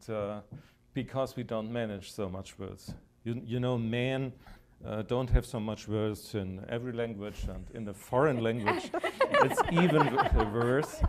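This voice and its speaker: A man with a German accent speaks fairly slowly at a medium pitch. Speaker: German labor official. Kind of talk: panel discussion. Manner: hesitant.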